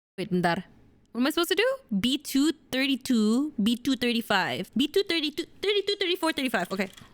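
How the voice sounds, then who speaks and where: An animated woman with an Indonesian accent talks at a fairly quick pace in a high voice with very wide pitch swings. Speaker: streamer. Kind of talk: casual chat. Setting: livestream.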